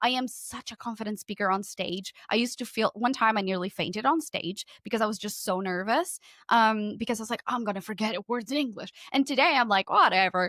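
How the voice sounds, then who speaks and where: With a Portuguese accent, a woman speaks at a fairly quick pace in a bright, sharp tone with a fairly high pitch. The recording is very clean with a silent background, and the sound is dry and close with no echo. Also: ordinary pitch variation. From Portugal. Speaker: podcast consultant. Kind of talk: casual chat.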